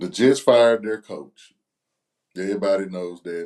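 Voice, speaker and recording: A man talks at a moderate pace, his pitch fairly low. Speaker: sports betting podcast co-host. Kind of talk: casual sports chat.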